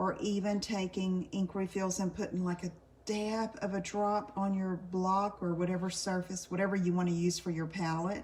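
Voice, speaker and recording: Soft-spoken and medium-pitched, a woman talks at a moderate pace in a monotone, flat intonation, with very even loudness and hardly any pauses. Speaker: card making demonstrator. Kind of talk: live craft tutorial. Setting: live stream. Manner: casual, chatty.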